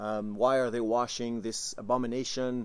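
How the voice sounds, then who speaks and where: The speaker is a man with a Quebec French accent. He uses a medium pitch and a moderate pace. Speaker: tabletop game master. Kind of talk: tabletop campaign recap talk to camera. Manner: casual, hesitant with filler words.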